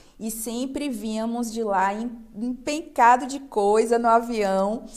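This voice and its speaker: A woman with a Bahian accent speaks at a fairly high pitch. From Brazil, Bahia (Salvador). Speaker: restaurant owner. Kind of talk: TV interview.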